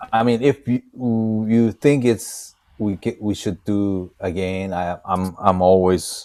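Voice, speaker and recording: A man with a Japanese accent speaks at a very slow pace in a fairly low voice with a dark, mellow tone, in a very clean recording with a silent background. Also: ordinary pitch variation. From Japan, Osaka. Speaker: DJ. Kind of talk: casual chat. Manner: halting.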